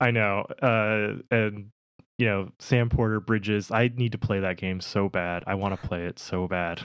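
At a fairly slow pace, a normal speaking voice holds a fairly even intonation. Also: man, fairly low pitch for a man. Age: 30s. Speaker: podcast co-host. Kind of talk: casual chat.

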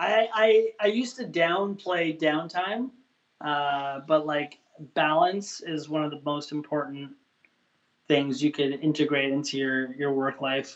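A man's fairly high pitch, a normal speaking voice, ordinary pitch variation and a fairly slow pace. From Canada. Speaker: chef and food truck owner. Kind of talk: casual chat.

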